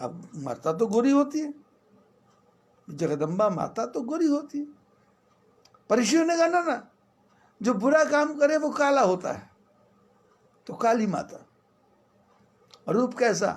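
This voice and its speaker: A man with an extremely high pitch makes very wide pitch swings and leaves long, frequent pauses. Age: 60s. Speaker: religious teacher. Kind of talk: religious discourse.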